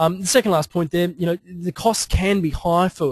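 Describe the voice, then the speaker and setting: Recorded close and dry with no echo, a man talks with an Australian accent. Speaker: webinar presenter, digital consultant. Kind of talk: webinar presentation. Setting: online webinar. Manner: fast; halting, many fillers and repetitions.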